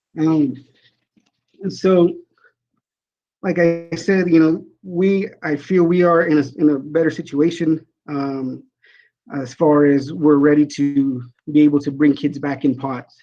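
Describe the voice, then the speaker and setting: A man's fairly high yet dark, mellow voice, with fairly even intonation and long, frequent pauses. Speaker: school athletic director. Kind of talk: board meeting presentation. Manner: halting with fillers.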